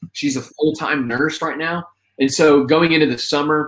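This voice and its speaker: Speaking at a moderate pace, a man with an American accent has an ordinary speaking voice pitched fairly high. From Indiana, US Midwest. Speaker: spoken word poet. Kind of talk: casual interview.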